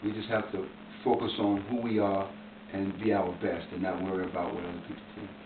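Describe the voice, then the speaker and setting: The speech moves at a fairly quick pace in a monotone, flat intonation. Noticeable background noise runs underneath. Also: man. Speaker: formerly incarcerated man. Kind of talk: interview answer. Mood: earnest, encouraging. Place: home room. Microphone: camera far.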